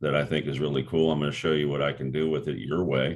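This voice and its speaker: His pitch is very deep and low, with vocal fry. The man's intonation stays fairly even. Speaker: rock singer and actor. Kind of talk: interview. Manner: casual.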